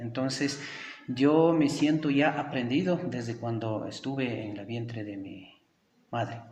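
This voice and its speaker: A man with an Ecuadorian accent, medium pitch, ordinary pitch variation, big swings in loudness and a fairly slow pace, with audible room echo. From Ecuadorian Andes, Kichwa community. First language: Kichwa (speaking Spanish). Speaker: teacher. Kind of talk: interview. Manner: hesitant, many fillers.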